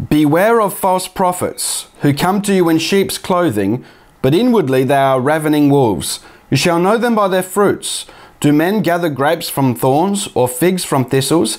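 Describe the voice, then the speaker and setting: A man at a moderate pace with lively intonation, over a quiet background. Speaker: bible teaching youtuber. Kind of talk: sermon-like commentary. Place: home room. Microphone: lapel.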